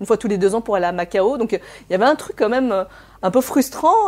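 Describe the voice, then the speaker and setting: A woman talks at a very fast pace. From France, raised by Chinese immigrant parents. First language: Cantonese (speaking French). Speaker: therapist. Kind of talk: interview. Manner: hesitant, many fillers.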